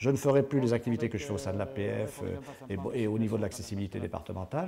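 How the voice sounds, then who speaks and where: A man with a dark, mellow tone talks at a very fast pace on a very clean recording with a silent background. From southwestern France (Béarn). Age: 60s. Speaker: paraplegic driver giving a testimony. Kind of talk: testimony. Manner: halting, many hesitations and repetitions.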